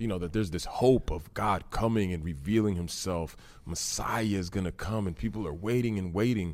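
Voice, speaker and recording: Hardly pausing, a speaker with an American accent talks at a moderate pace with ordinary pitch variation in an unremarkable speaking voice. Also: man, fairly low pitch for a man. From Massachusetts. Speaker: Bible podcast co-host. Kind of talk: casual Bible discussion.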